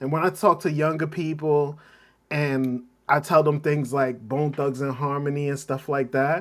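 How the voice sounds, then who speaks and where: An ordinary speaking voice from a man, fairly high in pitch, with fairly even intonation at a moderate pace. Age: 40s. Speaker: livestream host. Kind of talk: casual chat. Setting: home basement.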